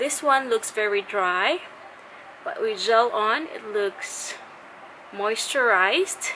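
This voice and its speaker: A woman with a Filipino accent speaks at a very slow pace, with long, frequent pauses. There is light background noise. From Philippines. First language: Tagalog. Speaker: beauty vlogger. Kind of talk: product review. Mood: cheerful, friendly. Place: home room. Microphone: phone near.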